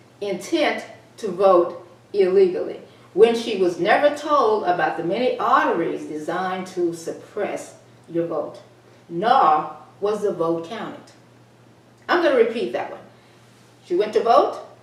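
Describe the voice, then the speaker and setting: With an American accent, a woman speaks fairly slowly at medium pitch, with long, frequent pauses and very wide pitch swings. Her loudness swings a lot, with noticeable background noise and audible room echo. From Texas. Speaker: talk show host and columnist. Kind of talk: reading own column with commentary.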